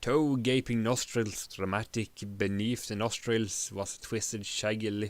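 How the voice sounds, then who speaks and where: The recording is very clean with a silent background, featuring a man at a medium pitch. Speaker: live streamer reading a story aloud. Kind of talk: audiobook-style narration of fantasy text.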